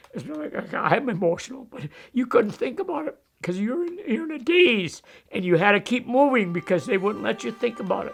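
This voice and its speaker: Over background music, a man talks at a fairly quick pace in an extremely high pitch, with very wide pitch swings and big swings in loudness. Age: 80s+. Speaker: war veteran. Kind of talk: testimony. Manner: halting.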